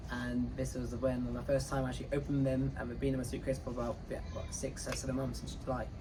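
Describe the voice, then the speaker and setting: The speech runs at a very fast pace with hardly any pauses. An audible room echo and noticeable background noise sit behind it. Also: man. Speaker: cruise director. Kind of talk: casual interview. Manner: halting with repetitions.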